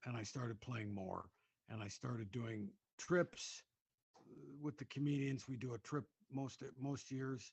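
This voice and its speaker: This man's voice sits at a medium pitch and sounds somewhat breathy, with ordinary pitch variation. He speaks at a fairly slow pace with long, frequent pauses. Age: 60s. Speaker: comedian. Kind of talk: casual chat. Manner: halting.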